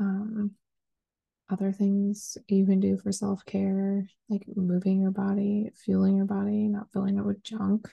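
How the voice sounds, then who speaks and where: With an American accent, a woman speaks at a fairly slow pace in a medium pitch, somewhat breathy. Her intonation is monotone and flat, and her loudness stays very even. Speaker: podcast host. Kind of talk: casual solo podcast monologue. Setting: home recording at night. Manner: casual, chatty, filler-heavy.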